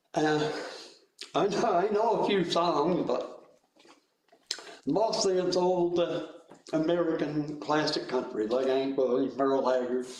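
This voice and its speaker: With audible room echo, a man with a fairly high voice talks at a fairly slow pace, leaving long, frequent pauses, his loudness very even and his pitch variation ordinary. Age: 70s. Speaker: musician, guitar player. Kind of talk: panel interview. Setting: video call webinar. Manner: halting.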